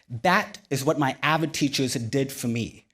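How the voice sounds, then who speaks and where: A man with an American accent speaks at a moderate pace with ordinary pitch variation. It is a normal speaking voice. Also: very clean recording, silent background. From Sri Lanka, then California from age 11. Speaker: physician and keynote speaker. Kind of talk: keynote speech. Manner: measured, rehearsed delivery.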